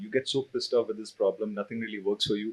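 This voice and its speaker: This is a man speaking. He talks in a Keralan accent. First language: Malayalam. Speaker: CTO and open source developer. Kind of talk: panel talk.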